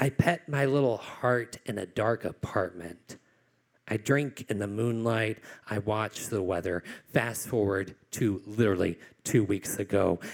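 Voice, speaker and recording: A man with an American accent and an ordinary speaking voice, fairly low in pitch, fairly slow, with ordinary pitch variation. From Virginia (Glade Spring, Appalachia). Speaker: poet. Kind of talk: live storytelling performance. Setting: stage with audience.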